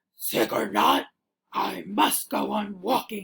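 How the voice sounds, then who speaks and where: Putting on a character voice, a woman sounds raspy at a medium pitch. She speaks at a fairly slow pace. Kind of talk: bedtime story. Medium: read story.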